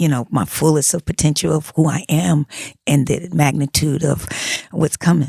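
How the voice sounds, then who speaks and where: Somewhat breathy and very deep, a woman's voice has a dark, mellow tone and ordinary pitch variation. She keeps a moderate pace, and the sound is dry and close with no echo. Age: 60s. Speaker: music producer and theater writer. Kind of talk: podcast interview.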